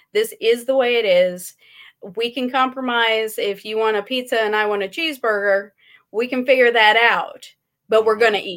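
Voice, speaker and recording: A woman's ordinary speaking voice, fairly high in pitch, at a moderate pace, on a very clean recording with a silent background. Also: fairly even intonation. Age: 40s. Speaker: gun rights activist. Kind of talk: casual chat.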